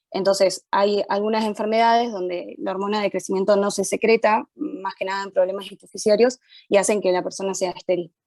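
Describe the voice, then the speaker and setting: Speaking with hardly any pauses and ordinary pitch variation, a woman is recorded with a dry, close sound and no echo. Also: medium pitch for a woman, fairly quick pace. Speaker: medical student leading study group. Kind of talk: student study session explanation. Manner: fast; hesitant, many fillers.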